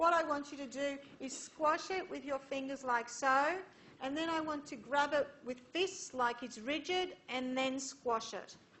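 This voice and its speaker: A woman speaks at a high pitch with ordinary pitch variation. Room echo can be heard around her. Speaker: university engineering lecturer. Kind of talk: lecture.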